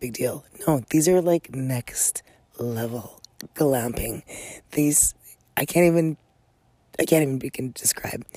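Quiet and dark, mellow in tone, a woman speaks at a fairly slow pace in a very deep, low pitch with ordinary pitch variation, big swings in loudness and long, frequent pauses, in a dry, close sound with no echo. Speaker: podcast host. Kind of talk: casual podcast monologue. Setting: outdoors on a deck.

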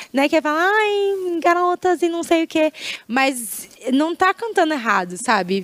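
A woman speaks at a moderate pace with very wide pitch swings. The sound is dry and close with no echo, and noticeable background noise comes through. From Brazil, Maringá (Paraná). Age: 20s. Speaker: singer and singing teacher. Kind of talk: casual interview.

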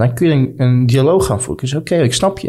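Pitched at a medium level, this is a man with an ordinary speaking voice and ordinary pitch variation. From Netherlands (Friesland), fled Balkans at six. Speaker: brand founder sharing refugee story. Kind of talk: casual interview.

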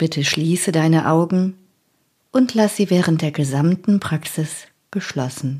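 A woman talks at a fairly slow pace in a dark, mellow tone that sounds calm and soothing. Her pitch is fairly low, with ordinary variation. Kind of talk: guided meditation (yoga nidra). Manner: slow, calm, soothing, with long pauses; soft, gentle and unhurried.

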